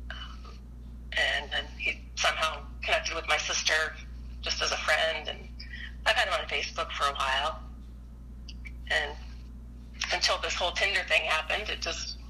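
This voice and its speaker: The pace is moderate, broken by long, frequent pauses. Noticeable background noise runs underneath. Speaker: returning caller. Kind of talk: casual chat.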